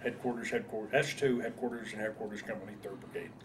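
A man with an American accent is heard over noticeable background noise. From northern New Jersey. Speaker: war veteran. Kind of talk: oral history interview. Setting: veterans reunion. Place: home room.

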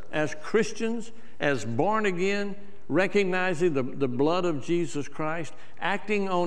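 A man speaks at a fairly slow pace. His voice is high-pitched, with ordinary pitch variation. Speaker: church preacher / minister. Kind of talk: sermon delivery. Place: church. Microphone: lapel.

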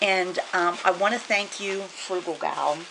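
Her speech is very slow. There's noticeable noise in the background. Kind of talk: casual vlog chat. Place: home room. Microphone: camera far.

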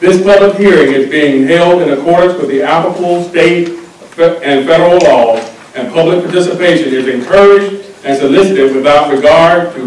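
Heard with audible room echo, a man speaks at a high pitch with ordinary pitch variation. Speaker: transportation engineer chairing a public hearing. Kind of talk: formal hearing proceedings. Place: meeting room. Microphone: podium.

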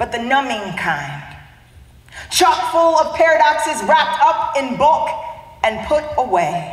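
A woman with an American accent speaks at a fairly slow pace and a high pitch. Audible room echo surrounds her voice. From US Midwest, Youngstown, Ohio; Ohio. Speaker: spoken word poet. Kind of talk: spoken word performance. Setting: conference stage. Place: hall.

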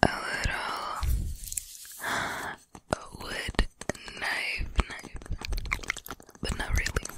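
Soft-spoken whispering comes at a very slow pace over loud background noise. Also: woman. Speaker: ASMR creator. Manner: soft close-mic ASMR whisper. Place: home room. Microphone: studio mic.

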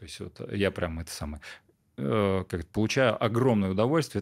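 In a quiet setting, a man with a fairly low pitch talks at a moderate pace with ordinary pitch variation. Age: 30s. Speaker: entrepreneur; podcast guest. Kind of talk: interview. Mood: calm, reflective. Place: studio. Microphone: studio mic.

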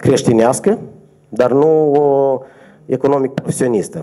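A man's voice, medium in pitch. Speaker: energy regulator official. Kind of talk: press conference. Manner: formal. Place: meeting room. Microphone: podium.

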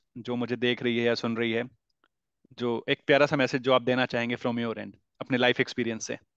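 A man talks at a fairly quick pace. The sound is dry with no echo, and the background is quiet. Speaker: podcast host, interviewer; show host interviewer. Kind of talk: casual interview conversation. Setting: call. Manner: Hindi-English code-mixing. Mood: warm, polite. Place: home room. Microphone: headset.

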